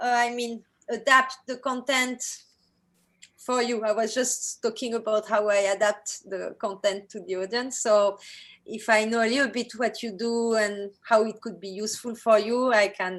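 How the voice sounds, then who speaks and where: With a French accent, a woman talks in fairly even intonation. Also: fairly high pitch for a woman, moderate pace. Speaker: workshop leader, digital artist. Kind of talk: online workshop introduction. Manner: halting, many fillers.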